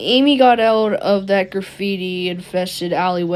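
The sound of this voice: With ordinary pitch variation, the speaker reads in an unforced reading voice.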